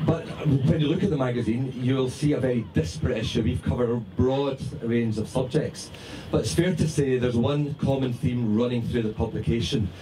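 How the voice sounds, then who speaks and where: Noticeable background noise sits behind a man speaking at a fairly quick pace. His pitch is medium, with ordinary variation. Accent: Scottish. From Scotland. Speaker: magazine founder and editor. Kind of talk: speech to party audience. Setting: party with audience.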